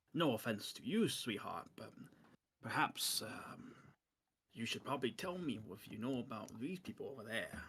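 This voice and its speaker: A man's raspy, put-on character voice at a medium pitch with very wide pitch swings and a moderate pace. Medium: actual play. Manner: suspicious, condescending.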